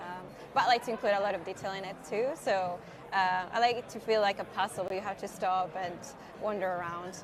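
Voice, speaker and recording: A Spanish accent at a moderate pace, with ordinary pitch variation and noticeable background noise. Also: woman. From Spain. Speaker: illustrator. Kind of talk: live-stream tutorial. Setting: conference live stream.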